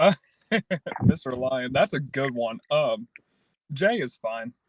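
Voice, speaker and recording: Speaking very slowly with a Kentucky accent, a man swings his pitch very widely in a dry, close recording with no echo. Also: fairly high pitch for a man. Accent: Kentucky Southern US. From Kentucky, around Brandenburg near Louisville. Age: 20s. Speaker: podcast guest. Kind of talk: casual interview.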